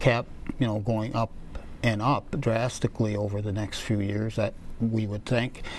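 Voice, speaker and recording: A man speaks at a moderate pace with an American accent. His voice has a medium pitch. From Wisconsin, US Upper Midwest. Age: 60s. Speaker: political candidate, paper mill worker. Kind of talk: interview. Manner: halting, many fillers.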